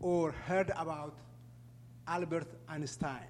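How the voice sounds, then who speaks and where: Speaking at a very slow pace, a man talks with an Ethiopian accent. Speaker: refugee program manager. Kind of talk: public talk. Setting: stage with audience.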